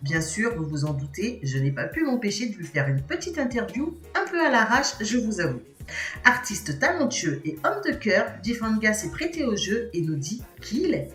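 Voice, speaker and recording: With music in the background, a woman speaks at a fairly high pitch, her voice making very wide pitch swings. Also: moderate pace. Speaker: interviewer. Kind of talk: channel host intro to camera.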